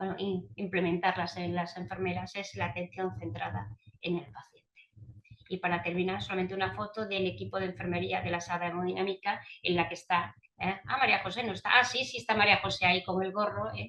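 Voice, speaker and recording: Lively in intonation, a woman with a medium pitch talks at a fairly quick pace. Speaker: cardiology nurse speaker. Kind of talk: webinar presentation. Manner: fast.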